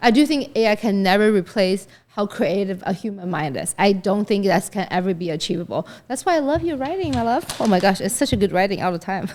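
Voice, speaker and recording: With a non-native accent and a medium pitch, a woman talks at a very fast pace in an animated tone with lively intonation. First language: not English. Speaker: podcast co-host. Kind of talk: casual interview chat.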